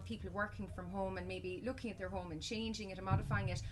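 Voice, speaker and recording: A woman talks very fast while noticeable background noise fills the recording. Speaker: estate agent auctioneer interviewer. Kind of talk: interview questions, business spotlight.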